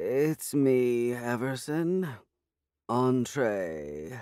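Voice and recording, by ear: A man performs a put-on character voice. Its medium pitch jumps in very wide swings.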